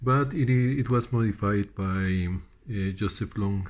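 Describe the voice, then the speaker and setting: Speaking fairly slowly in a Spanish accent, a man with a fairly low pitch sounds somewhat breathy and shows ordinary pitch variation. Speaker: audio hobbyist. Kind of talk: casual show-and-tell. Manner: halting, many fillers and repeats.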